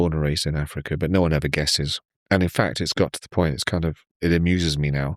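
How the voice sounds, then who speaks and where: Very fast and in a monotone, flat intonation, a man with a very deep, low pitch speaks in a dry, close sound with no echo. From Kenya, Nairobi. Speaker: tech company CEO. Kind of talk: casual podcast interview.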